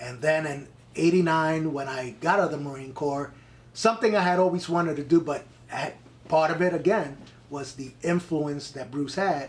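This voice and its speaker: With a New York accent, a man talks at a moderate pace in a fairly high pitch, using ordinary pitch variation and big swings in loudness over noticeable background noise. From New York, the Bronx. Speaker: actor and Marine veteran. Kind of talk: casual interview, storytelling. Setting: in person.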